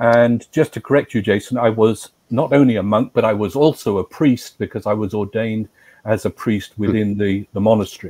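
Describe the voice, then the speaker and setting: A man with an English accent at a fairly quick pace, fairly low in pitch with ordinary variation, dark and mellow in tone, in a dry, close sound with no echo. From England. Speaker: former monk and priest. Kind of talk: interview.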